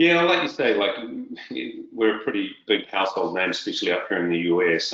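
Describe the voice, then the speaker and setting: The speaker is a man. He has a New Zealand accent. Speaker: tech sales executive. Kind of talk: interview.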